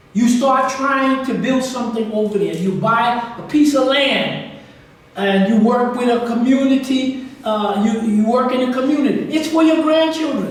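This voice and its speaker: A man speaks at an extremely high pitch with ordinary pitch variation and a moderate pace. Background noise is noticeable, and room echo is audible. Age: 80s+. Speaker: guest lecturer on African history. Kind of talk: Q&A after a lecture.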